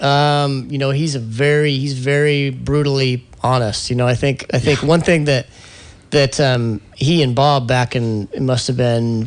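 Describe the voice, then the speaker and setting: With an American accent, a man uses a normal speaking voice at a medium pitch and a moderate pace, his intonation fairly even. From US Midwest, Indianapolis. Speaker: former pro skateboarder, company executive. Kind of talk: radio interview.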